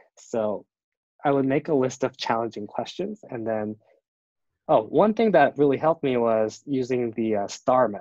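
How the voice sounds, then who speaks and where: Recorded with a dry, close sound and no echo, a man with a Korean accent talks at a moderate pace and medium pitch. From South Korea. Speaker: design student and product designer. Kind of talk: interview. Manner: halting, many fillers.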